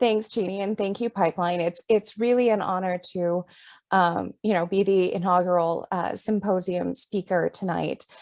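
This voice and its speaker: Here is a woman with a normal speaking voice at a medium pitch. She keeps a moderate pace and fairly even intonation. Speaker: author and writing professor. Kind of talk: presentation. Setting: video call.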